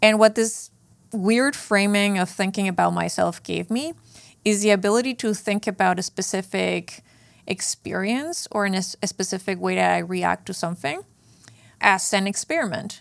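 A woman with a Spanish accent speaks at a moderate pace and medium pitch, with ordinary pitch variation. The recording is very clean, with a silent background. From northern Mexico (Chihuahua). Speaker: fintech product executive. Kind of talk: interview. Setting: studio.

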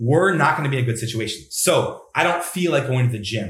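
This man's voice sits fairly high in pitch. It sounds somewhat breathy. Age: 30s. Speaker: mental health coach. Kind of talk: interview.

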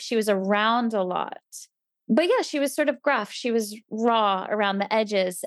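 The recording is very clean, with a silent background. A speaker with a New Jersey accent talks at a moderate pace with ordinary pitch variation. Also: woman. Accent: American (New Jersey). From US East Coast, New Jersey. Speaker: temple resident, mother. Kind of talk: casual interview chat.

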